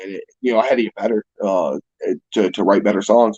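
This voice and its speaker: At a fairly quick pace, a man talks with a western New York accent. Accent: US Northeast (western New York). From Niagara Falls, New York. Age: 20s. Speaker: musician. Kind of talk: casual chat.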